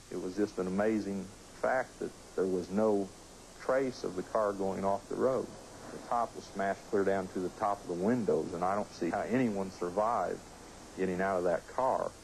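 Delivery is at a moderate pace with fairly even intonation. Light background noise can be heard. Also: man, fairly low pitch for a man. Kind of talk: interview answer. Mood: calm, reflective. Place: home room.

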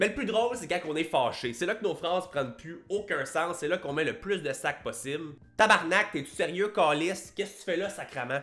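A man's high-pitched voice in a Quebec accent, bright and sharp in tone, with hardly any pauses and faint music in the background. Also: fairly quick pace. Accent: Québécois. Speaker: YouTuber and fitness coach; fitness youtuber. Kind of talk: casual vlog monologue. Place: home room. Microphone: studio mic.

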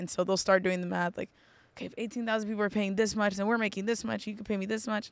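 A woman talks with fairly even intonation. The sound is dry, with no echo. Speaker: interview guest. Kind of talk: interview answer. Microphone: studio mic.

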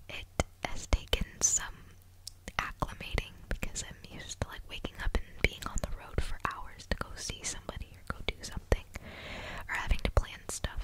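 Whispering and soft-spoken, a woman sounds sad, her loudness swinging widely over light background noise in a dry recording with no echo. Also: moderate pace. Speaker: vlogger. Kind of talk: casual vlog chat. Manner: soft close whisper, sad undertone. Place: home room. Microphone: studio mic.

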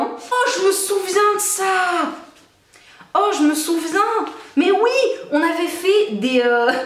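With audible room echo, a woman talks in very wide pitch swings. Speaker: YouTuber; vlogger. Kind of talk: casual vlog. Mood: amused, nostalgic. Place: home room. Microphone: camera far.

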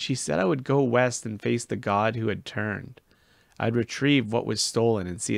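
Pitch varies in an ordinary way through this natural reading voice.

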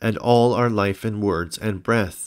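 A man talks at a fairly slow pace in an unremarkable speaking voice of medium pitch. The recording is very clean, with a silent background. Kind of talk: audiobook reading of a historical religious text, scripted narration. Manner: formal, measured, even-paced reading.

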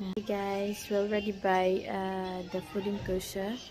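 A woman talks fairly slowly while clear music plays behind her. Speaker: vlogger. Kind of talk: casual vlog chat. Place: shop. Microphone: phone near.

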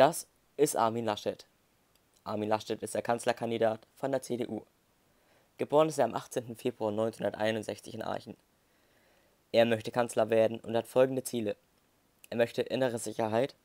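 A man speaks at a moderate pace in a monotone, flat delivery. He takes long, frequent pauses. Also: medium pitch for a man, dry, close sound with no echo. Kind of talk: moderated debate. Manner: halting.

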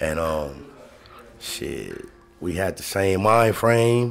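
A man with a very deep, low pitch and ordinary pitch variation, over light background noise. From Chicago. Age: 40s. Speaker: podcast co-host. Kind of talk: casual chat. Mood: relaxed, candid. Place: studio. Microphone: studio mic.

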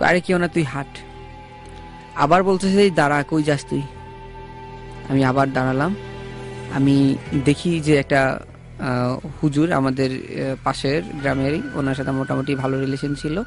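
Music plays in the background as a man talks. His pitch is fairly high and his intonation fairly even. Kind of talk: first-person ghost story told on a radio horror show. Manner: casual, conversational with hesitations.

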